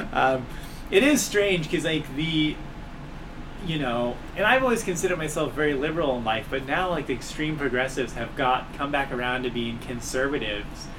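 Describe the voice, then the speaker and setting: A man with an American accent talks at a fairly quick pace and fairly high pitch, with ordinary pitch variation. Audible room echo and noticeable background noise come through. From Southern California (Long Beach / South Central LA). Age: 30s. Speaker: comedian and podcast host. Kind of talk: casual chat. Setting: apartment, in person.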